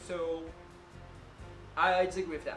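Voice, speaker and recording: A man with a Brazilian accent speaks at a high pitch for a man, with music in the background. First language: Portuguese. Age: 20s. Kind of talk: casual talk to camera.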